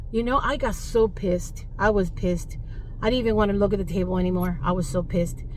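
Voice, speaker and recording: With very wide pitch swings and an animated tone, a woman speaks amid audible room echo and noticeable background noise. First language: Spanish. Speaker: teacher vlogger. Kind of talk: casual vlog monologue.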